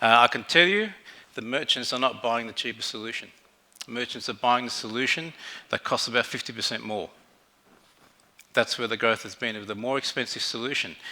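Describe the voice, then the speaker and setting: With an Australian accent, a man speaks at a fairly quick pace and medium pitch, his loudness swinging widely, his pitch varying in an ordinary way, and his speech broken by long, frequent pauses. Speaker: fintech executive, conference speaker. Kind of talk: conference keynote presentation. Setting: stage with audience. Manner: halting, many fillers.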